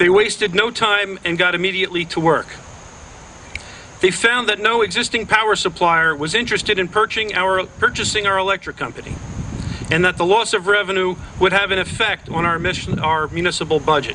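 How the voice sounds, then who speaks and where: A man with an American accent speaks at a fairly quick pace in a raised, projected voice with high pitch. Noticeable background noise is present. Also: fairly even intonation. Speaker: mayor of a small town. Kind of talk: public ceremony speech.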